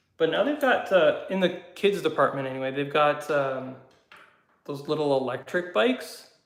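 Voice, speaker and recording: This man talks at a moderate pace with a Canadian accent, his pitch fairly high and its variation ordinary. Audible room echo surrounds his voice. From Canada, southwestern Ontario. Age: 30s. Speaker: YouTuber, motorcycle hobbyist. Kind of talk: casual live chat. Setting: garage. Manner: hesitant, many fillers.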